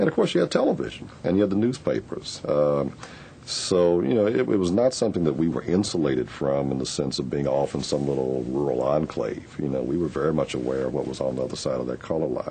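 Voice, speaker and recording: A man with a very deep, low pitch talks at a very fast pace, with hardly any pauses and ordinary pitch variation. Noticeable background noise is present. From Louisville, Kentucky. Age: 50s. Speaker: oral history interviewee. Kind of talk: oral history interview.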